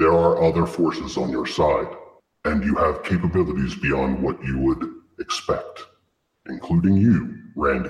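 Putting on a character voice, a man speaks at a moderate pace with a very deep, low pitch and a slight echo. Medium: actual play. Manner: solemn, formal, measured.

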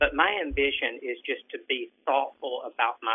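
In a Southern US accent, a man talks at a moderate pace. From Alabama. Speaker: writer and software worker. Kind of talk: casual chat. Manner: halting.

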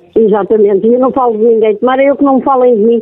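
Pitched high, a woman talks at a fairly quick pace with ordinary pitch variation. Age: 40s. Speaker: prank call victim. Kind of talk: phone conversation. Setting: phone call.

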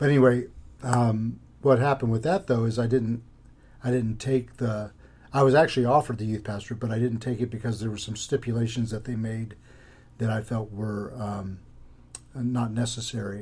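A somewhat breathy man's voice with an American accent, fairly even intonation and a moderate pace. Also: medium pitch for a man. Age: 50s. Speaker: pastor. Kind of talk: casual interview.

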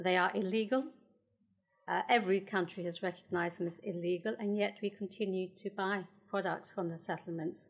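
With a plain, everyday voice, a woman talks at a fairly quick pace and medium pitch with fairly even intonation. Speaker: politician. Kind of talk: panel debate.

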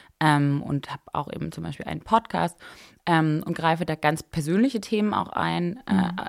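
A woman with a very deep, low voice talks at a moderate pace, her pitch varying in an ordinary way while her loudness swings widely. The sound is dry and close with no echo, in a very clean recording with a silent background. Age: 20s. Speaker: fashion blogger and entrepreneur. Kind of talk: casual chat. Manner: many fillers and hesitations.

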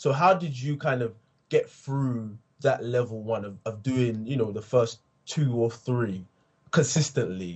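His voice is medium in pitch and somewhat breathy. The man speaks at a fairly slow pace with ordinary pitch variation. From England, Essex. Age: 20s. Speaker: podcast host. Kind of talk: interview. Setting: remote call across time zones.

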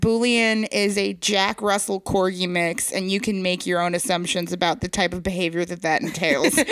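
With an American accent, a woman speaks at a moderate pace and a medium pitch, using ordinary pitch variation and hardly any pauses, on a very clean recording with a silent background. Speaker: comedy podcast co-host. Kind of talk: casual chat. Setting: house basement. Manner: animated.

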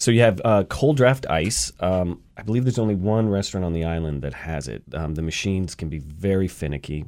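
With an American accent, a man talks at a fairly quick pace with hardly any pauses, his very deep, low pitch carrying lively intonation on a very clean recording with a silent background. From US South, Atlanta. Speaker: bartender and mixologist. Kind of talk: radio interview with cocktail demonstration. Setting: radio studio.

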